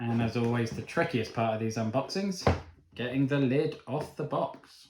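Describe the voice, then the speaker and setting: Amid noticeable background noise, a man speaks at a medium pitch. His pace is moderate, with ordinary pitch variation. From Cornwall, England. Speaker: board game reviewer. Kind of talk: unboxing video. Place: home room. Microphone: camera far.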